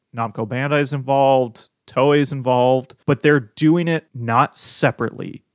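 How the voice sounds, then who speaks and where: In a plain, everyday voice of medium pitch, a man speaks at a moderate pace with fairly even intonation and hardly any pauses, on a very clean recording with a silent background. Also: dry, close sound with no echo. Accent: American. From US Midwest. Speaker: podcast co-host, fan site runner. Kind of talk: casual chat.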